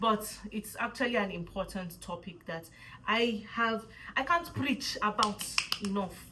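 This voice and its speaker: The voice carries a Nigerian accent and an animated tone. Its pitch varies in an ordinary way. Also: woman. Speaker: vlogger. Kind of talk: casual vlog talk. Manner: fast.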